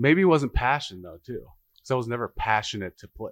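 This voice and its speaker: A normal speaking voice with an American accent at a fairly quick pace, dry and close with no echo, in a very clean recording with a silent background. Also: man. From Harlem, New York, then Nebraska from 13. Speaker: former college football offensive lineman. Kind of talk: casual podcast interview. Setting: brewery taproom.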